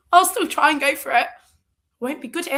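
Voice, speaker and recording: A woman with a high pitch and a bright, sharp tone is talking at a fairly quick pace. Her voice is raised and projected. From English Midlands (Tamworth, near Birmingham). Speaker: running club member. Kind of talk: interview. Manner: energetic.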